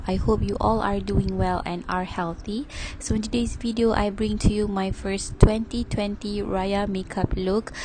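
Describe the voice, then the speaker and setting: A woman's medium-pitched, monotone voice at a moderate pace, with noticeable background noise. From Malaysia. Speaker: beauty youtuber. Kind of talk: makeup tutorial voiceover.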